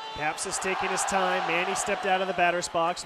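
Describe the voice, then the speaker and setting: A man's high voice at a fairly quick pace with fairly even intonation, dry with no echo, over loud background noise. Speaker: radio play-by-play announcer. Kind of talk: baseball radio play-by-play. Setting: stadium radio broadcast. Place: booth.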